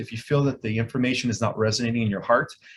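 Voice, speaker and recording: At a very fast pace, a somewhat breathy man talks at a medium pitch with fairly even intonation. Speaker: author and spiritual speaker. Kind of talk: interview. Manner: authoritative.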